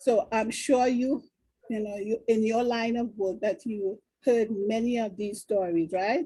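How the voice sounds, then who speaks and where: The voice is somewhat breathy with a dark, mellow tone, ordinary pitch variation and a fairly slow pace. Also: woman, fairly high pitch for a woman. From Trinidad and Tobago. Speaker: talk show host. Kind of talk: interview.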